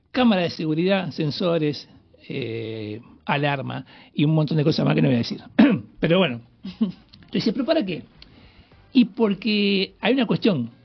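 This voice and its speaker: The man's voice is pitched high. It swings very widely up and down. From Greater Buenos Aires, Argentina. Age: 60s. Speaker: police hostage negotiator. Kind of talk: radio interview.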